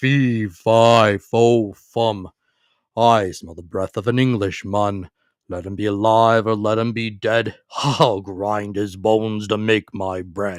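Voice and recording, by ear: A booming, put-on character voice from a man, fairly low-pitched and fairly slow, recorded very cleanly with a silent background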